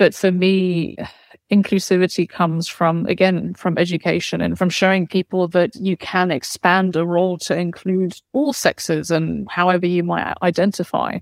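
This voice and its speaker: A woman with a London accent speaks at a moderate pace in a fairly low pitch, her intonation fairly even. The sound is dry and close, with no echo. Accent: southern English (London). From London, England. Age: young. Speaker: orchestra conductor. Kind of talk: interview.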